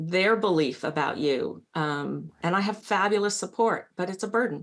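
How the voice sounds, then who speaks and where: Vocal fry in a woman's medium-pitched speech, moderately paced, with ordinary pitch variation. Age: 60s. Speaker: patient panelist. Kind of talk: panel discussion. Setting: virtual meeting.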